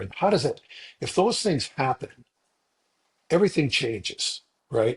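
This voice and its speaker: Somewhat breathy, a man speaks at a moderate pace. The sound is dry and close, with no echo. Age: 60s. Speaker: podcast co-host. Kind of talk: casual podcast discussion.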